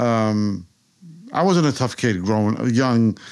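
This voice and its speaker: A man with a New York accent is heard in a very clean recording against a silent background. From New York, Queens (Rockaway Park). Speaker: author. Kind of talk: interview. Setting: office.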